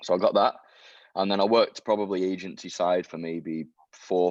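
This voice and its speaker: Against a quiet background, a man with a Mancunian accent talks at a fairly quick pace. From Manchester, northern England. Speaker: SEO expert. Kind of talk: interview.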